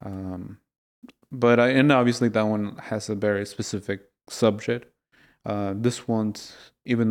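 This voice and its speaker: On a very clean recording with a silent background, a man with a Spanish accent speaks at a fairly low pitch with fairly even intonation. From Mexico (Mexico City and Puebla). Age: 30s. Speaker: artist. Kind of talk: casual interview chat. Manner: halting, many fillers.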